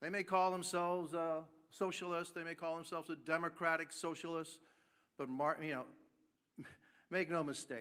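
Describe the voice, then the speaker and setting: A man with a slight Cuban-American accent and a bright, sharp tone, on a very clean recording with a silent background. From Cuba, raised in Miami. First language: Spanish. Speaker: congressman. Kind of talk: press conference remarks. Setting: press conference. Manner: halting, many fillers.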